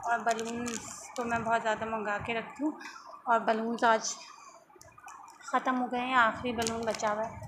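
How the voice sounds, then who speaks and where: A soft-spoken woman speaks at a fairly high pitch with monotone, flat intonation. She leaves long, frequent pauses amid noticeable background noise. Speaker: vlogger, mother. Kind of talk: casual vlog talk. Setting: at home.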